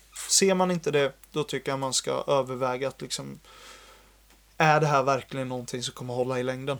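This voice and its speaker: A man talks at a fairly quick pace in a medium pitch, with fairly even intonation. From Sweden, Jönköping. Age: 20s. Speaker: software developer. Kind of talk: casual chat.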